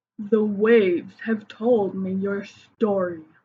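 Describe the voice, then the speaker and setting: A woman puts on a character voice at medium pitch. She speaks at a fairly slow pace. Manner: wise, solemn.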